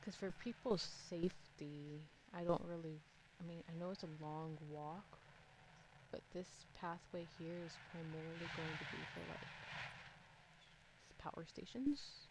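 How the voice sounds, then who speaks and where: A soft-spoken woman talks at a fairly slow pace and fairly low pitch, her somewhat breathy voice showing ordinary pitch variation, big swings in loudness, and long, frequent pauses. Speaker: game streamer. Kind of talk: gameplay commentary. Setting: live stream.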